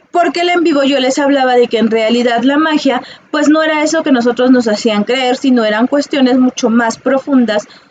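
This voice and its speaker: Noticeable background noise sits behind a woman with a high pitch. She keeps a moderate pace, very even loudness and ordinary pitch variation. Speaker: psychologist and holistic teacher. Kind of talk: casual monologue to viewers. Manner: halting, many fillers.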